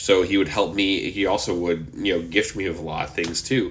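A man's speech rings with audible echo from the room. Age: 30s. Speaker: podcast host. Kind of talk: casual solo monologue. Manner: animated.

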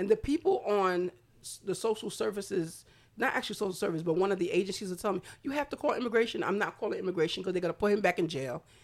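A woman with an American accent speaks very fast with lively intonation in a very clean recording with a silent background. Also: medium pitch for a woman. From Brooklyn, New York, Haitian family. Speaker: non-profit founder. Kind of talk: casual chat.

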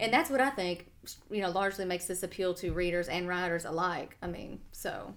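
A woman at a very fast pace. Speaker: podcast host. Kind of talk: casual podcast chat.

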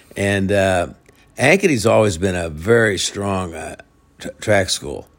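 In a very clean recording with a silent background, a man with a Midwestern US accent speaks at a very slow pace. His pitch is fairly low and his intonation fairly even. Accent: US Midwest. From Iowa. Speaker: high school football coach. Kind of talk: interview. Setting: at his home. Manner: halting, many repetitions and fillers.

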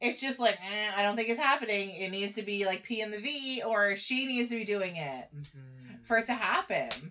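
Loud speech is heard over noticeable background noise. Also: woman, fairly high pitch for a woman, lively intonation, moderate pace. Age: 30s. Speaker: podcast co-host. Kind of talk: casual chat.

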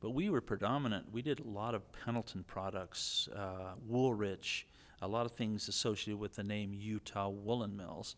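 A man uses a normal speaking voice, fairly low in pitch, with fairly even intonation at a moderate pace. The recording is very clean and the background silent. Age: 60s. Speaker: men's shop co-owner, founder's father. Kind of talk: casual interview chat.

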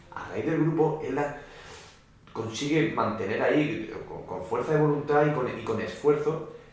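A man with a fairly high pitch talks at a fairly slow pace, his loudness swinging a lot. Both audible room echo and noticeable background noise come through. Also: ordinary pitch variation. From Murcia, Spain. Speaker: orchestral percussionist. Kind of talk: casual chat.

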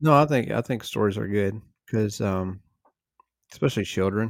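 On a very clean recording with a silent background, a man speaks at a moderate pace and a fairly low pitch with ordinary pitch variation. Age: 40s. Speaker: marriage podcast co-host and farmer. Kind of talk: casual chat.

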